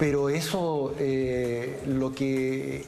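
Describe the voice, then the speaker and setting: A man's medium-pitched voice with audible room echo and music in the background. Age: 60s. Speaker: congressman. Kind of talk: TV interview. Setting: TV studio, live broadcast. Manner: hesitant, many fillers.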